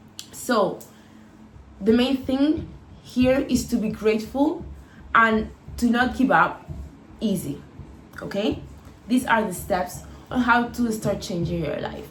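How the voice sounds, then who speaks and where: A woman with a non-native accent speaks very slowly at a fairly high pitch, leaving long, frequent pauses. Her pitch variation is ordinary, with audible room echo and noticeable background noise. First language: not English. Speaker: lifestyle vlogger. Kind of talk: casual advice monologue.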